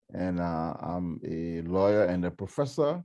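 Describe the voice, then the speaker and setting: Against a quiet background, a man with a dark, mellow tone talks at a fairly slow pace. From Liberia. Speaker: lawyer and law professor. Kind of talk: self-introduction at online seminar. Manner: hesitant, many fillers.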